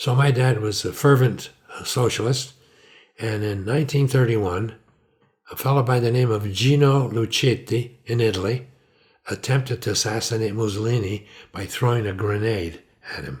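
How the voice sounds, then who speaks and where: On a very clean recording with a silent background, a man at medium pitch talks at a moderate pace, somewhat breathy, with ordinary pitch variation and big swings in loudness. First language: Italian. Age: 80s+. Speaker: retired physician. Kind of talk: life story interview. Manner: conversational, with hesitations.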